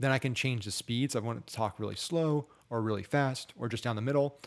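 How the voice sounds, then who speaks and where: A fairly quick pace from a man, with ordinary pitch variation and a quiet background. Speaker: online marketing tutor; ad marketing creator. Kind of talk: screen-share tutorial; tutorial. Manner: fast; casual with filler words. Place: home room. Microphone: studio mic.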